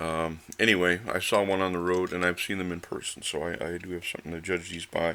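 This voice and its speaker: A man speaks at a moderate pace in a very deep, low voice. His tone is bright and sharp. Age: 60s. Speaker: diecast model car reviewer. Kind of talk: product review. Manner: casual, hesitant with many fillers.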